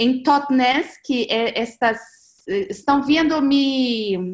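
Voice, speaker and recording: In a Portuguese accent, a woman speaks with a high pitch and lively intonation. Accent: Portuguese-accented Spanish (portuñol). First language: Portuguese (speaking Spanish). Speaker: presenter on transition movement network. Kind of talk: online seminar presentation. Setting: video call. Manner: halting.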